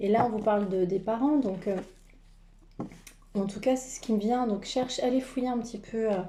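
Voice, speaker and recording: Over noticeable background noise, a woman with a fairly high pitch speaks at a moderate pace with fairly even intonation and long, frequent pauses. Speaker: tarot card reader and energy healer. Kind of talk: spiritual card reading. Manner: halting with many fillers.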